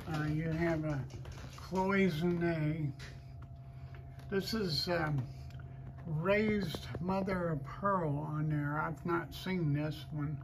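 The speech moves at a very slow pace amid noticeable background noise. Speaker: estate auction host. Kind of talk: walkthrough commentary describing items. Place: hall. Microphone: phone near.

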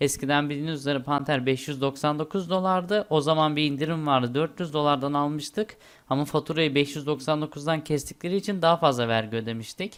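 Delivery comes at a moderate pace with hardly any pauses. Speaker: tech tutorial YouTuber. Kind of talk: screen-recorded tutorial. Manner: casual with fillers and hesitations.

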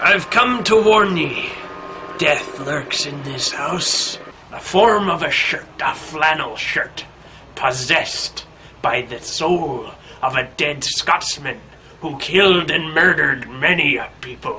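A man puts on a character voice, fairly high in pitch. He goes at a fairly slow pace over clear background noise. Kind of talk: comic overacting. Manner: ominous, theatrical warning.

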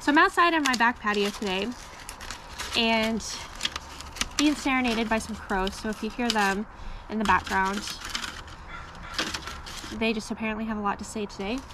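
A woman with long, frequent pauses over noticeable background noise. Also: ordinary pitch variation, moderate pace. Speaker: home gardener vlogger. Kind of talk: casual vlog chat. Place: garden. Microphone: phone near.

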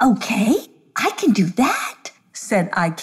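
The speaker reads in a natural reading voice, the intonation lively.

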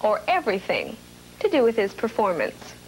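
Over light background noise, a woman with a high pitch talks fairly slowly, her voice making very wide pitch swings. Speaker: entertainer. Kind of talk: TV segment presentation to camera.

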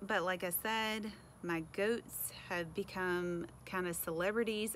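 A woman speaks at a fairly slow pace with ordinary pitch variation over light background noise. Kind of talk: casual vlog chat. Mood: chatty, slightly apologetic laughter. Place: garden. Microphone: phone near.

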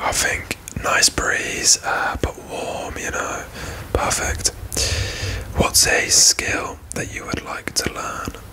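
Someone whispers at a very slow pace. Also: man. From Britain. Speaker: ASMR creator. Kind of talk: ASMR whispered question-asking to camera. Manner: whispered, soft-spoken. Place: home room.

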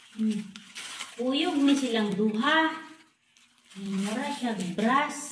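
A woman's high-pitched voice, very slow with long, frequent pauses and lively intonation, amid audible room echo and light background noise. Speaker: home vlogger. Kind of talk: casual unboxing chat. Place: home room. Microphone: phone near.

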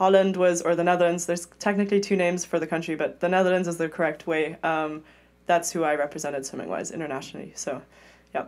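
Talking at a very fast pace, a woman keeps a fairly low pitch and a monotone, flat intonation. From Europe, mixed (grew up partly in London). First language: German. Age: 20s. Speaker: Olympic swimmer. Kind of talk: casual interview chat. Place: studio. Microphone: studio mic.

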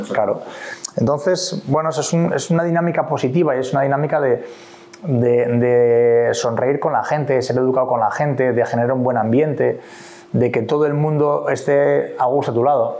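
In a normal speaking voice, a man talks at a moderate pace with a fairly high pitch, ordinary pitch variation and very even loudness. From Asturias, Spain. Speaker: sports federation president, former Olympic canoeist; guest. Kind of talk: interview. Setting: at his home. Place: meeting room. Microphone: lapel.

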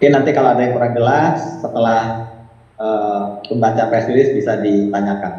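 A man speaks at a moderate pace in a medium pitch with ordinary pitch variation, his voice carrying audible room echo over noticeable background noise. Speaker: lawyer. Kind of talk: press release reading. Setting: video call. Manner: formal.

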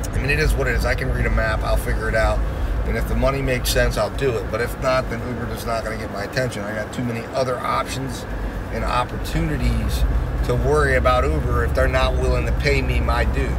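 A man talks very fast while loud noise fills the background. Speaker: delivery driver vlogger. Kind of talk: casual vlog chat. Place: car. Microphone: phone near.

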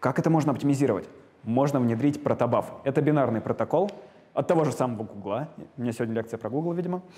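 The speech moves at a very fast pace, its pitch showing ordinary variation. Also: man, fairly high pitch for a man. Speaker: lecturer. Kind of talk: lecture. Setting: lecture hall with students. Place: classroom. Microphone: lapel.

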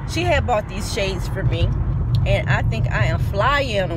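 Loud background noise runs behind a woman speaking at a moderate pace. The sound is dry, with no echo. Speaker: vlogger. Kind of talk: casual vlog chat. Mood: cheerful, playful. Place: car. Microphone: phone near.

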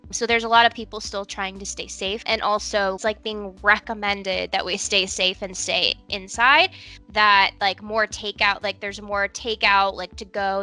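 Over faint background music, a woman speaks with fairly even intonation, the sound dry with no echo. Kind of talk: casual interview chat. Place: home room. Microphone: headset.

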